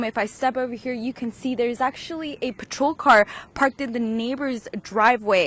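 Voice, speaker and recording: There is noticeable background noise as a woman speaks with a fairly high pitch and ordinary pitch variation. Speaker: TV news reporter. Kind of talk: TV news field report.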